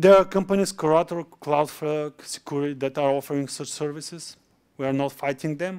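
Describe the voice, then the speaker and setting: On a very clean recording with a silent background, a man speaks at a moderate pace. He has a fairly high pitch and an unremarkable speaking voice. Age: 30s. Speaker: conference speaker. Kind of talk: conference talk; Q&A answer.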